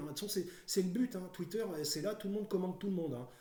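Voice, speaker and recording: A man's voice comes through with noticeable noise behind it. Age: 50s. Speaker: YouTuber. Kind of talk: casual monologue. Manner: halting, many fillers.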